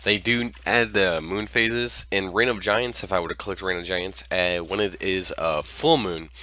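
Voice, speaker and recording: His voice sits at a very deep, low pitch, with vocal fry, lively intonation and a bright, sharp tone. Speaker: gaming youtuber. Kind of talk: gameplay commentary. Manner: fast.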